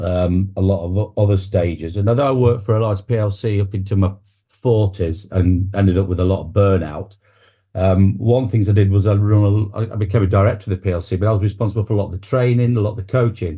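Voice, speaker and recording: Speaking at a very fast pace against a quiet background, a man with an East Midlands accent has a fairly low pitch, a dark, mellow tone, a somewhat breathy quality and fairly even intonation. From England, Nottingham. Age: 60s. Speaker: public speaking coach and celebrant. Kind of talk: interview conversation.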